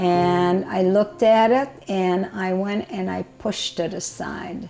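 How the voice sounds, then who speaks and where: Music plays in the background as a woman talks at medium pitch. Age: 90s. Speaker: Holocaust survivor. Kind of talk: interview answer.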